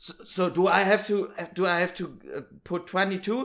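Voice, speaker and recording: At a very slow pace, a man speaks with a German accent on a very clean recording with a silent background. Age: 20s. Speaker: podcast host. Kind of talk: casual chat.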